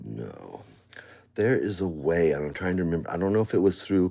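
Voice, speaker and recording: The voice has a dark, mellow tone. The recording is very clean, with a silent background. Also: man. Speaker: live streamer. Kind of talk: casual live stream talk. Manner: loud.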